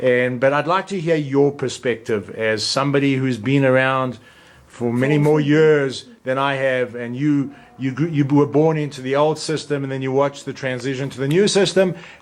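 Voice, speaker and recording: Over noticeable background noise, a man talks in a fairly high pitch with ordinary pitch variation. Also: moderate pace. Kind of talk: casual interview questions.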